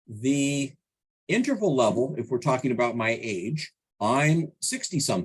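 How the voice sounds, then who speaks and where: The voice is somewhat breathy, with lively intonation. It moves at a fairly slow pace. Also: man, medium pitch for a man. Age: 60s. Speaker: statistics consultant. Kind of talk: tutorial.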